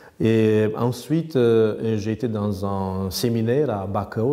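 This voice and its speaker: The voice has a dark, mellow tone and a Romanian accent. Its pitch varies in an ordinary way. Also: man. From Romania, north-east near Roman. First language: Romanian (speaking French). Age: 50s. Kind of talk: interview. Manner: hesitant, many fillers.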